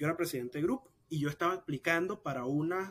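A man in an ordinary speaking voice moves at a fairly quick pace, his pitch variation ordinary. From Nicaragua. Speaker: exiled student activist. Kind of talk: interview.

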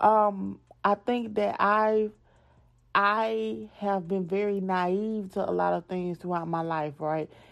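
Against a quiet background, a woman with an American accent speaks at a very slow pace and medium pitch, with lively intonation. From US South. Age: 20s. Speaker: podcast host. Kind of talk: casual chat. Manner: animated.

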